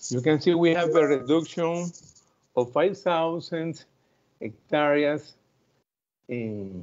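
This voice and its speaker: A man with a fairly high pitch speaks at a very slow pace, leaving long, frequent pauses. His pitch variation is ordinary. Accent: Spanish. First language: Spanish. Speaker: growers association president. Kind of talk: conference presentation. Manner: halting.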